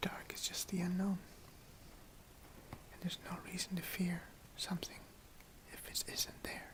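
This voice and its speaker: A man whispers at a fairly slow pace while noticeable background noise carries on. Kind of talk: ASMR whispering. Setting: speaking through a face mask. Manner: whispered, soft-spoken.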